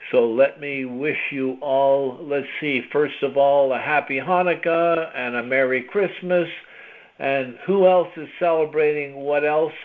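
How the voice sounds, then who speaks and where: A man with an unremarkable speaking voice talks slowly-ish, at a fairly high pitch and with fairly even intonation. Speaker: podcast host. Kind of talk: podcast intro to listeners.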